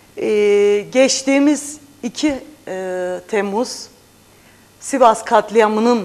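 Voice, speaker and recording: The woman's voice shows ordinary pitch variation. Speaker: parliamentary candidate and journalist. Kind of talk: TV interview. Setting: studio. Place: studio. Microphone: lapel.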